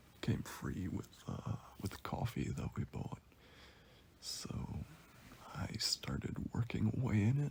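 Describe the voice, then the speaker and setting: Someone whispers quietly at a very slow pace, leaving long, frequent pauses. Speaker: commentary youtuber. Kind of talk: casual monologue. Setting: in bed at home. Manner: whispery.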